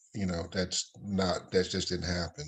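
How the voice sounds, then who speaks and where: A fairly low male voice at a moderate pace. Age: 60s. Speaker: father on a panel. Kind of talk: casual chat. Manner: halting, many fillers.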